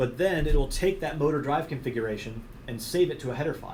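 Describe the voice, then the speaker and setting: A man's voice with audible room echo. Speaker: technical trainer. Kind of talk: technical training presentation. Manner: fast.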